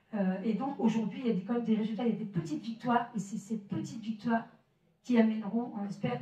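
Audible room echo surrounds a woman speaking at a fairly quick pace. Her pitch is fairly high and her intonation fairly even. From northern France, Maubeuge; northern France. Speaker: solidarity association representative; association representative at a public debate. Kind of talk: public presentation. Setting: village hall with audience. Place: hall.

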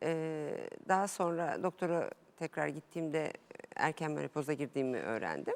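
A woman speaks with a very deep, low pitch and ordinary pitch variation. Her pace is moderate. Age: 40s. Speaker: amateur tennis player, interview guest. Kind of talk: TV interview.

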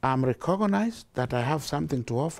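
A man speaks at a medium pitch and a moderate pace. His tone is dark and mellow. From Kenya. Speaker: charity founder and director. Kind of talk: interview answer. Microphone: lapel.

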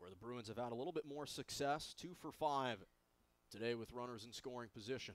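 A man talks at a medium pitch and a fairly quick pace. His pitch varies in an ordinary way, and his loudness swings widely. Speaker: baseball play-by-play announcer. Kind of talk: live sports commentary. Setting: stadium broadcast booth. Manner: upbeat, enthusiastic and polished.

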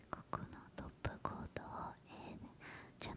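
Whispering and soft-spoken, a woman talks at a fairly slow pace in a dry sound with no echo and light background noise. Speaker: ASMR creator. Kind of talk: soft ASMR chat about nail care. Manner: soft close-mic ASMR whisper. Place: home room. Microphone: studio mic.

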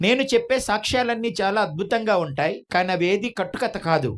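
High-pitched male speech on a very clean recording, the background silent. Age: 40s. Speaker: preacher. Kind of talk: sermon.

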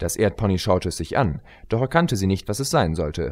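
The speaker talks at a moderate pace with lively intonation and a slightly mellow tone on a very clean recording with a silent background. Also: man, low pitch for a man.

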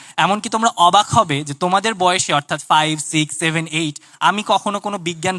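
This man's voice is high-pitched, with a bright, sharp tone. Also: dry, close sound with no echo. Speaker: student researcher and inventor. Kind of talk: speech to an audience at a science festival.

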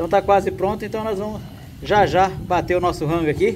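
Against noticeable background noise, a man talks in a high-pitched voice. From Mato Grosso do Sul, Brazil. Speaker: travel and camping vlogger. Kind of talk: vlog narration to camera. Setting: outdoors at a beach. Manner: animated.

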